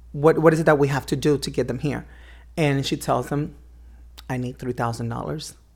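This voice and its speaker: A woman's very deep, low voice with vocal fry and fairly even intonation. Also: very clean recording, silent background. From Cuba (Havana). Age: 30s. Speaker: transgender woman sharing her story. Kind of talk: interview, personal testimony. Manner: halting, many fillers and repetitions.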